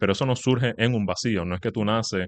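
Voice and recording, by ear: Speaking at a fast pace, a man uses a fairly low pitch with ordinary pitch variation.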